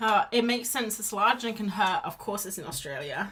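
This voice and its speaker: A woman with a British accent, medium pitch, lively intonation and a moderate pace. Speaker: art streamer. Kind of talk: casual chat while drawing on a live stream. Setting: live stream. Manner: mumbly at times; chatty, rambling with false starts.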